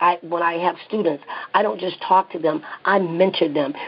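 With a Southern US accent, a woman speaks fairly quickly at a fairly low pitch and ordinary pitch variation. Noticeable background noise runs underneath. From US South. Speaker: psychotherapist and clinic owner. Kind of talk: interview.

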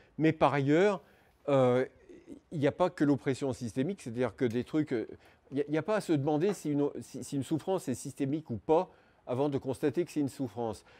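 A man's fairly high voice with a dark, mellow tone, ordinary pitch variation and long, frequent pauses. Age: old. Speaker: animal rights activist and speaker; speaker. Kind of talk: lecture. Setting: conference talk before an audience. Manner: halting, many hesitations and repetitions. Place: classroom. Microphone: lapel.

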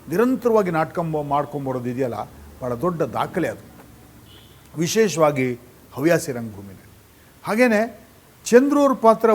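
A man speaks with very wide pitch swings. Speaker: theatre director and actor. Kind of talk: reminiscing narration.

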